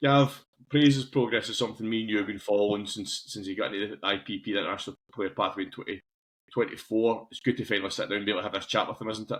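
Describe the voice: A man at a very fast pace, with fairly even intonation. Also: fairly low pitch for a man.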